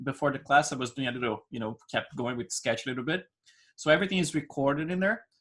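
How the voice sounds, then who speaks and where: This man speaks with a Brazilian accent. His pitch varies in an ordinary way. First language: Portuguese. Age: 40s. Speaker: digital sculpting instructor. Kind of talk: live online class. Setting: screen-share online class. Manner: talkative, many fillers.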